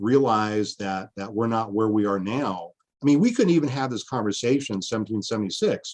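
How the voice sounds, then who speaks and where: Against a quiet background, a man with an American accent and a normal speaking voice talks at a fairly quick pace, using a fairly low pitch and ordinary pitch variation. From Washington State. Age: 50s. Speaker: history professor. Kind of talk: interview conversation.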